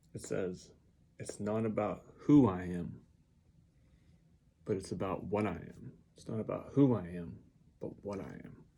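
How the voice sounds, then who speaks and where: A man with a very deep, low pitch and a dark, mellow tone speaks at a fairly slow pace with long, frequent pauses. His intonation is lively, vocal fry creeps in, and the room echo is audible. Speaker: vlogger. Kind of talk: casual monologue. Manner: halting, many ums.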